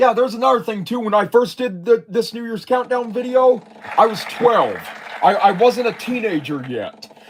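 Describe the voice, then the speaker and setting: With an American accent, a man speaks at an extremely high pitch and a moderate pace, using ordinary pitch variation over noticeable background noise. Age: 20s. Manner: halting.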